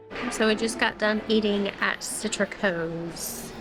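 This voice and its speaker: Noticeable background noise sits behind a woman's medium-pitched voice. Her delivery is very slow, with monotone, flat intonation. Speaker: vlogger. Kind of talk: casual chat. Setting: restaurant.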